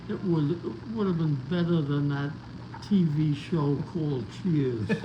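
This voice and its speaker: Against noticeable background noise, a man with an American accent speaks at a fairly slow pace in a fairly high voice. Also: ordinary pitch variation. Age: 80s+. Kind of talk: interview answer.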